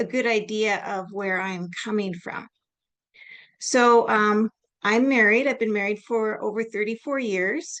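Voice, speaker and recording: In a Canadian accent, a woman with a plain, everyday voice and fairly high pitch speaks at a fairly slow pace with ordinary pitch variation over a quiet background. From Canada. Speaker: nurse and lecturer. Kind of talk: lecture.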